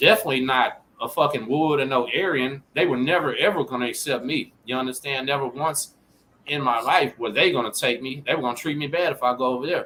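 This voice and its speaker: With noticeable background noise behind him, a man talks at a fairly quick pace in a fairly high pitch with ordinary pitch variation. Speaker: rapper. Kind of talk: casual chat.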